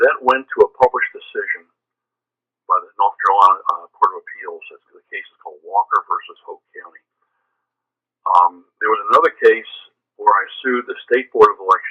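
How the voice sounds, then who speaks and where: A fairly quick pace with big swings in loudness and ordinary pitch variation. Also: man. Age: 70s. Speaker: former political candidate. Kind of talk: phone interview. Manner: halting, repeats words.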